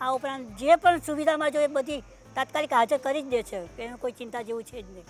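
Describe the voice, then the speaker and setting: A woman speaks with a high pitch and ordinary pitch variation. Her loudness swings widely. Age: 80s+. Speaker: retirement home resident. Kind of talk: interview answer.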